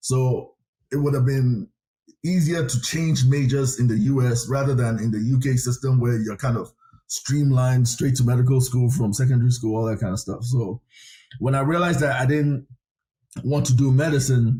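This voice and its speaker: Speaking at a moderate pace, a man uses a medium pitch and fairly even intonation. His tone is dark and mellow, and somewhat breathy. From Ghana. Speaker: government chief of staff. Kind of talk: interview.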